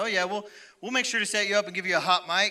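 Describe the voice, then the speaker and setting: A man's bright, sharp voice at a very fast pace, on a very clean recording with a silent background. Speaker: youth pastor. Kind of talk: sermon. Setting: church.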